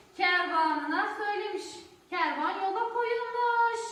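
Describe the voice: With a bright, sharp tone and ordinary pitch variation, a woman talks at a slow pace amid strong room echo.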